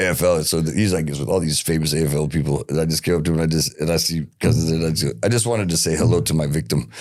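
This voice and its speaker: The speaker talks at a very fast pace with an American accent. Noticeable background noise is present. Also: man. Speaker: podcast host. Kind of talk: casual chat. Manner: halting.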